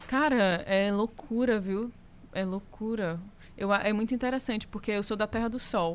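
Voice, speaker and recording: A woman with a Ceará accent, fairly high-pitched for a woman, at a moderate pace and with ordinary pitch variation. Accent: northeastern Brazilian (Ceará). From Brazil, Fortaleza, Ceará. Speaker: singer and guitarist. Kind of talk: casual podcast interview. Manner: animated.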